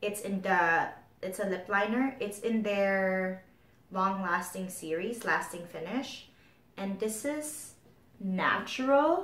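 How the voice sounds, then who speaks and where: A woman talks at a very slow pace with a medium pitch and a somewhat breathy voice. Her intonation is lively, and audible room echo surrounds her. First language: not English. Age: 30s. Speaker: beauty vlogger. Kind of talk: casual chat.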